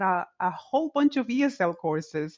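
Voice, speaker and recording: A woman speaks with a Dominican accent and a lively intonation. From Dominican Republic. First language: Spanish. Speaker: tech executive in higher education. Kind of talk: casual interview chat.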